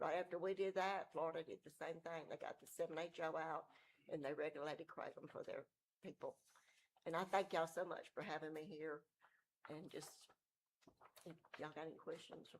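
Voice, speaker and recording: Speaking in a Mississippi accent, a woman with a fairly low pitch talks at a fairly quick pace in a flat monotone, broken by long, frequent pauses. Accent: US Southern (Mississippi). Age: old. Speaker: member of the public speaking at meeting. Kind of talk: public comment. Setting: city council meeting. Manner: halting.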